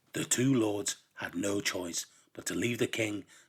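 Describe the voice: Reading aloud, plainly done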